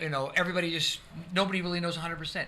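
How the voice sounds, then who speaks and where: A man's high-pitched voice, bright and sharp in tone, at a very fast pace. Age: 60s. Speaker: pastor. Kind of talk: testimony. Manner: halting.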